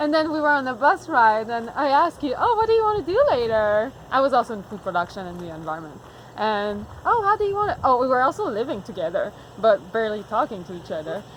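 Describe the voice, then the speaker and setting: A woman with a Quebec accent talks at a very fast pace and a high pitch, with very wide pitch swings and big swings in loudness. Noticeable background noise is present. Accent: Québécois French-accented English. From Quebec, Montreal. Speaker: farmer. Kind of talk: casual chat.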